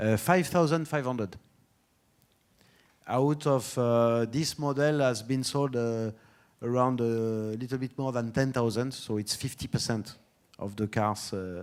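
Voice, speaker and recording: A man with a French accent at medium pitch, a fairly slow pace and long, frequent pauses, on a very clean recording with a silent background. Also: ordinary pitch variation. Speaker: automotive brand executive. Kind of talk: conference talk and Q&A. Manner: halting, many fillers.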